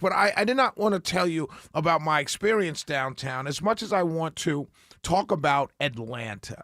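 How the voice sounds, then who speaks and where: A man talks in a bright, sharp tone with fairly high pitch. His intonation is lively. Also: dry, close sound with no echo. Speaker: radio talk show host. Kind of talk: radio talk show monologue. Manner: halting, many fillers and restarts.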